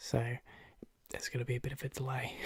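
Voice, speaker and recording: A man with a medium pitch talks at a fairly quick pace in a relaxed, somewhat breathy tone. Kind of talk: casual talk to camera with gum chewing. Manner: relaxed, rambling, conversational.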